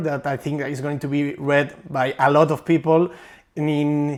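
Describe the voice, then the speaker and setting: A man with a Spanish accent and a fairly high pitch, on a very clean recording with a silent background. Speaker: book content creator, interviewer. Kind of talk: interview. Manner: halting.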